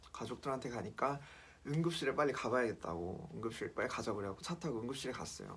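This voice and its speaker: Speaking with a medium pitch and lively intonation, a man races along at a very fast pace. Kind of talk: personal testimony vlog. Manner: casual, hesitant with fillers.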